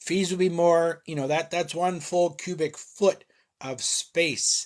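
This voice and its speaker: A man in an American accent talks at a moderate pace. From Philadelphia, US. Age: 50s. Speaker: online reseller. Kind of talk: live stream Q&A. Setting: garage. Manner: casual, hesitant with fillers.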